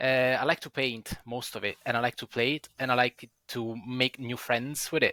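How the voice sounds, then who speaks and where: In an Italian accent, a man with a medium pitch speaks in a bright, sharp tone, the sound dry and close with no echo. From Italy. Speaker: wargaming club member, podcast panelist. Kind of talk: casual chat.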